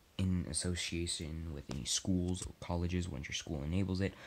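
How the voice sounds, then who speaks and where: A man speaks in a very deep, low pitch. His pace is fairly quick and his intonation fairly even. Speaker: gameplay commentator. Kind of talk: casual vlog chat, partly reading.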